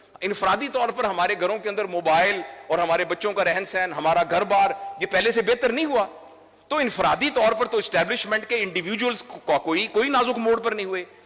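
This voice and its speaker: A man with a high pitch and ordinary pitch variation speaks at a moderate pace. Noticeable background noise is present. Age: 60s. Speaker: doctor and trainer. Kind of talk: speech. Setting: stage with audience.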